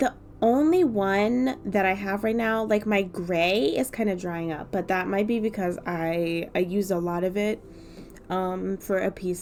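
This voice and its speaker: This woman speaks at a moderate pace, her medium pitch showing ordinary variation. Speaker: art YouTuber. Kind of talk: casual vlog chat while drawing. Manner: frequent filler words, says um a lot; casual, rambling.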